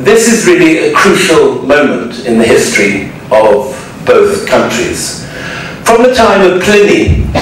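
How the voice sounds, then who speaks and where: At a fairly slow pace and very even loudness, the voice carries strong room echo over light background noise. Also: man. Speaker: lecturer. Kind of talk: lecture. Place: hall.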